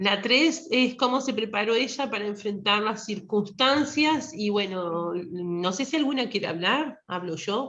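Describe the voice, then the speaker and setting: With a plain, everyday voice, a woman speaks at a fairly slow pace and fairly high pitch, using lively intonation and hardly any pauses. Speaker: participant at a women's church retreat. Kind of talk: group discussion.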